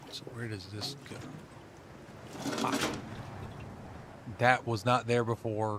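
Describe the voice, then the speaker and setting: With noticeable background noise behind him, a man speaks in a monotone, flat way at medium pitch, his loudness swinging widely between long, frequent pauses. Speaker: gaming streamer. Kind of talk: game let's play commentary; reading aloud.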